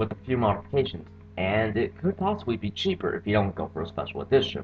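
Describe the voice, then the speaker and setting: Somewhat breathy, a man talks at a very fast pace with very wide pitch swings. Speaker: video game car reviewer. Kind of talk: casual gameplay commentary.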